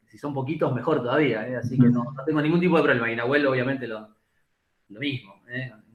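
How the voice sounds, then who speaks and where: A man talks at a very fast pace with a medium pitch. His intonation stays fairly even, and audible room echo surrounds the voice. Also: big swings in loudness. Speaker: physical education professor. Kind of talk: lecture.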